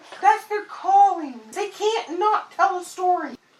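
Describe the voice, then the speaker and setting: This is a put-on character voice pitched extremely high. It moves at a fairly slow pace. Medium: solo performance. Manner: calm, explanatory, refers to itself as we.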